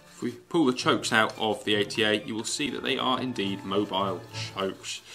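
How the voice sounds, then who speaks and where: A man's fairly low voice with an English accent, fairly quick pace and ordinary pitch variation. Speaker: gun reviewer. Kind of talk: product review. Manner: fast.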